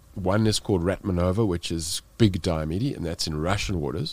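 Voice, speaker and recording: On a very clean recording with a silent background, a man with a South African accent speaks at a moderate pace, his very deep, low pitch showing ordinary variation. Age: 40s. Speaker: extreme cold-water swimmer and speaker. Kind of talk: podcast interview. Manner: animated storytelling, frequent fillers.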